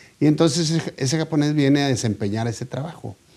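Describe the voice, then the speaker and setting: Male speech with a dark, mellow tone, fairly quick in pace, with ordinary rises and falls in pitch. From Mexico, Monterrey. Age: 70s. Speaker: poultry businessman. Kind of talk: interview. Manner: halting, many fillers and repetitions.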